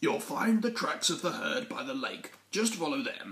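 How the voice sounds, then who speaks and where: In a put-on character voice pitched extremely high, a man delivers his lines at a medium tempo. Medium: read story. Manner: gentle, warm.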